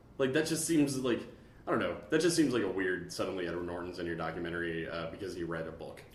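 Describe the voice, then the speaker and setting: A man talks at a very fast clip with very wide swings in pitch, and the room echo is easy to hear. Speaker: podcast host. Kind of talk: casual chat. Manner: animated.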